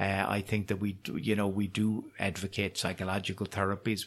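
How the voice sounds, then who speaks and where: Fairly quick, monotone, flat delivery from a man with a Cork accent. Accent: Cork Irish. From Ireland, Cork. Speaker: professor of psychiatry. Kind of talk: interview. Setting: on location at university. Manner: halting, repeats words.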